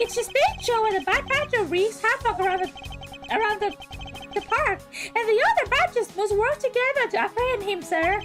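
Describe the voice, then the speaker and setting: Over clear background music, a woman performs a put-on character voice at a moderate pace. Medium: virtual streamer. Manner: earnest, eager, polite.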